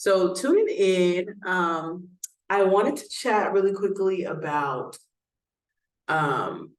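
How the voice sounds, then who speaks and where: A woman with an American accent speaks at a medium pitch and a very slow pace, her pitch varying in an ordinary way, with long, frequent pauses and audible room echo. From Texas, Houston. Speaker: doula and nurse. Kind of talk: educational vlog talk. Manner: casual, with frequent fillers.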